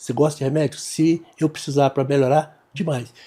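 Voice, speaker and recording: A man speaks with a dark, mellow tone at a moderate pace. His pitch is fairly high. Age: 60s. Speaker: doctor. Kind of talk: casual chat.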